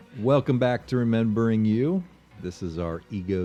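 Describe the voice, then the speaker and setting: A man speaks with music in the background. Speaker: podcast host.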